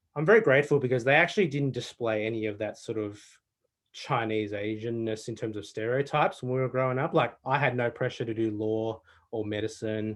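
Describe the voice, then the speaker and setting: This man has an Australian accent and a medium pitch. He speaks fairly quickly with ordinary pitch variation. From Australia, Melbourne. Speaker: panel guest, award judge and summit organiser. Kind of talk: panel discussion. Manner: conversational with many fillers.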